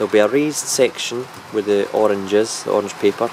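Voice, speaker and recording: With a Scottish accent, a man talks at a moderate pace and a fairly low pitch, with ordinary pitch variation. Noticeable background noise sits behind him. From Scotland. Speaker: model railway hobbyist. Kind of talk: video walkthrough of a layout. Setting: loft. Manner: casual, hesitant with fillers.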